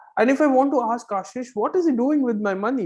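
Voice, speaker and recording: Someone speaks at a fairly quick pace with a Goan accent. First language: Konkani. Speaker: accounting teacher. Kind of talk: online lecture. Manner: conversational, many fillers.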